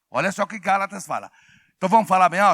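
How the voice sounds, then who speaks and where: High-pitched, bright and sharp, a man's raised, projected voice in an animated tone, dry and close with no echo, on a very clean recording with a silent background. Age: 60s. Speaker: pastor. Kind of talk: sermon. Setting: church with congregation. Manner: animated, call-and-response with congregation.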